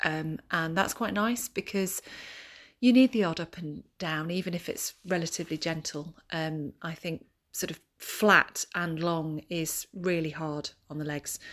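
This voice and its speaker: A woman speaks in a normal speaking voice, fairly low in pitch with ordinary pitch variation. The recording is very clean, with a silent background. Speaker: runner sending audio report. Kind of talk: casual race report diary. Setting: outdoors at race.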